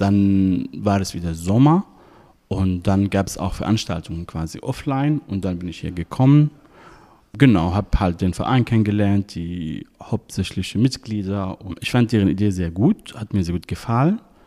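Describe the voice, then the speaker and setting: At a moderate pace, a man with an Arabic accent speaks in a fairly low pitch with a dark, mellow tone. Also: ordinary pitch variation. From Syria. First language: Arabic (speaking German). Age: 30s. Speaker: volunteer. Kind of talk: interview. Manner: hesitant with fillers.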